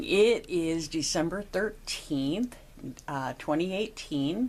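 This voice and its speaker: This woman's delivery is very slow. Her pitch moves through very wide swings. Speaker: oral history interviewer. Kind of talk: interview questions.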